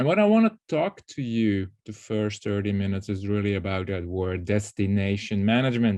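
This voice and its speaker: With a non-native accent and a dark, mellow tone, a man talks at a fairly quick pace with ordinary pitch variation against a quiet background. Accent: non-native, audible foreign. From Belgium. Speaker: tourism strategy consultant, keynote speaker. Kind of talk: keynote presentation.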